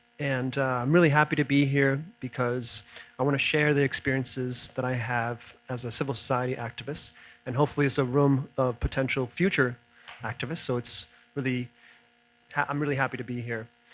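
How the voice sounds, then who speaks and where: A man with a plain, everyday voice and an American accent talks at a fairly quick pace with fairly high pitch. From Italy and the US. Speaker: civil society activist, former lawyer. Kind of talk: conference talk.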